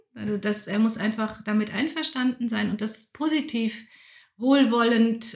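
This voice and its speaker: A woman's somewhat breathy, fairly high-pitched voice, with ordinary pitch variation, at a fairly slow pace. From Lower Rhine region, Germany. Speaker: Protestant pastor. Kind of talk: interview.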